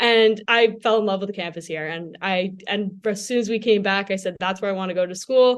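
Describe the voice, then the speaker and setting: A woman with a New Jersey accent, medium in pitch, at a fairly quick pace with fairly even intonation. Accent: New Jersey, noticeable on some vowels. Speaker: university journalism student. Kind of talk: casual interview.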